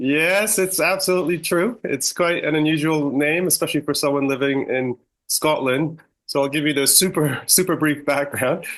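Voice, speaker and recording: A man with a Canadian accent speaks at a moderate pace in an unremarkable speaking voice. His pitch is fairly high, with ordinary variation. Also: quiet background. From Canada. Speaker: stem cell research professor. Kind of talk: podcast interview.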